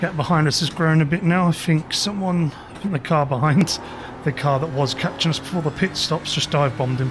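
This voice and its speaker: Noticeable background noise runs under a man speaking at a fairly high pitch. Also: ordinary pitch variation, fairly quick pace. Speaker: sim racing streamer. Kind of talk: live gameplay commentary.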